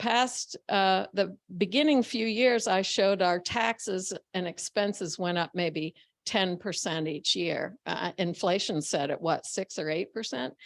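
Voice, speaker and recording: The recording is very clean, with a silent background and a dry, close sound with no echo. A woman speaks at medium pitch and a fairly slow pace, with ordinary pitch variation. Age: 60s. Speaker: farmer. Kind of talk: panel discussion. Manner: halting. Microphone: poor audio, hard to understand.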